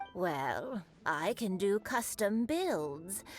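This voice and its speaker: A woman puts on a character voice with a gentle tone and very wide pitch swings. Clear background noise can be heard. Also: medium pitch for a woman. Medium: video game. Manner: gentle, grandmotherly.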